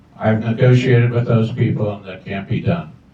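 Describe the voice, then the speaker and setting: A man speaks at a medium pitch with ordinary pitch variation. His voice is somewhat breathy, with a dark, mellow tone. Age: 70s. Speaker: school board candidate, army veteran. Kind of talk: candidate forum answers. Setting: open house with audience.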